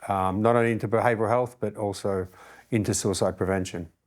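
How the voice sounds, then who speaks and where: Here a man speaks with an Australian accent at a fairly low pitch, his intonation monotone and flat. The recording is very clean against a silent background. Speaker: fire chief. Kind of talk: interview podcast. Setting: studio, sitting across the table.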